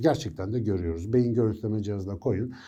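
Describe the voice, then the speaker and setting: Audible room echo surrounds a man talking at a very fast pace. His voice is medium in pitch, with a dark, mellow tone. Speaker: neuroscience educator. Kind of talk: educational monologue. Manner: conversational.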